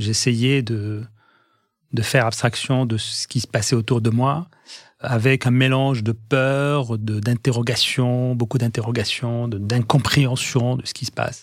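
A man speaks at a fairly slow pace. His intonation is flat and monotone. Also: medium pitch for a man. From Egyptian family, raised in Algiers, Algeria. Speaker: pharmaceutical industry executive. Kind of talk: interview testimony. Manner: halting, many repetitions and hesitations.

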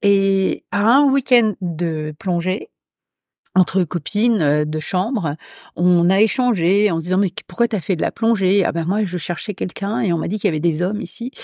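A woman talks in a plain, everyday voice at a fairly slow pace with ordinary pitch variation, and the very clean recording has a silent background and a dry, close sound with no echo. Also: medium pitch for a woman. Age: 60s. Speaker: hypnotherapist. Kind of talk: casual chat.

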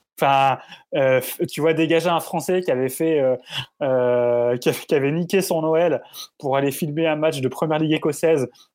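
A man's voice, fairly high in pitch, with ordinary pitch variation and a fairly slow pace, on a very clean recording with a silent background. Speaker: football video reporter. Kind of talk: casual storytelling. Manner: halting, repeats words.

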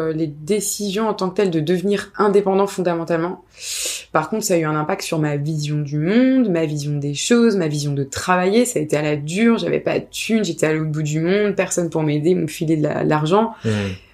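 A woman talks at a fairly quick pace in a fairly low pitch, with ordinary pitch variation and noticeable background noise. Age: 30s. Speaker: freelancer, founder of a freelancer collective. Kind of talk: casual interview.

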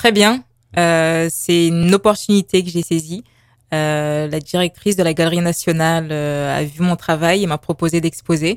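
A woman with an unremarkable speaking voice talks at a fairly slow pace and a fairly low pitch. Her intonation is fairly even, and the sound is dry and close with no echo. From Paris, France. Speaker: visual artist and graphic designer. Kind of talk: radio interview.

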